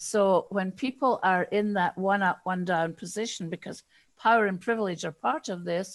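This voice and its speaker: Against a quiet background, a woman with a Scottish accent speaks at a moderate pace and medium pitch with ordinary pitch variation, the sound dry and close with no echo. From Scotland. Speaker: diversity and inclusion consultant. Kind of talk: interview.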